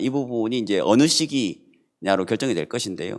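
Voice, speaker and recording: The background is silent in a very clean recording. A man with a plain, everyday voice speaks at a moderate pace, his intonation lively. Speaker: professor. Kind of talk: panel discussion remarks.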